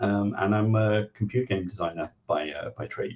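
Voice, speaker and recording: A man with an English accent speaks at a fairly low pitch and a moderate pace. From England. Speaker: game designer and columnist. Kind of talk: interview.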